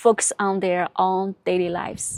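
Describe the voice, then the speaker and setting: A woman speaks at a fairly slow pace in a Chinese accent, with a dry, close sound and no echo. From China. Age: 30s. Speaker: vlogger. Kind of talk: personal vlog narration. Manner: halting, with repetitions.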